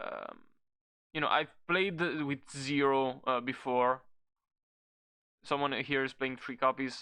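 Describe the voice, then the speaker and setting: Speaking very slowly with long, frequent pauses, a man uses a bright, sharp tone at a fairly high pitch with fairly even intonation. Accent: non-native. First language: not English. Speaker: card game content creator. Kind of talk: casual tier-list commentary. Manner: halting, many fillers.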